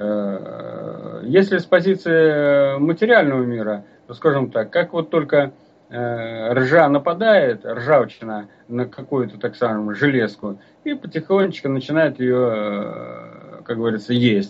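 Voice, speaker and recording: A man's voice with lively intonation, at a very slow pace. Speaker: folk culture researcher and author. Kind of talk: radio lecture with listener Q&A. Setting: live radio broadcast. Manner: halting, frequent filler sounds; formal. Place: studio.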